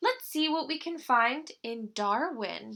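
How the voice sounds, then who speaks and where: A woman puts on a character voice with a warm tone, high pitch and lively intonation, speaking at a fairly slow pace. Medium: read story. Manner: warm, caring.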